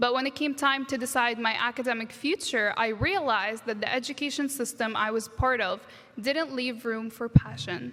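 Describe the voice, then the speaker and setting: A woman with an Arabic accent speaks in a high pitch with ordinary pitch variation. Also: moderate pace. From Egypt, Alexandria, moved to US at 13. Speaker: graduate student speaker. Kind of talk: commencement speech. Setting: stage with audience, graduation ceremony.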